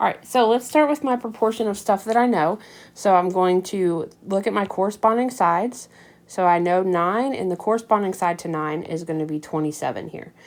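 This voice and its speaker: A woman with an ordinary speaking voice, medium pitch, lively intonation and a fairly quick pace. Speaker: math teacher. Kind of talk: tutorial. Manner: casual with many fillers.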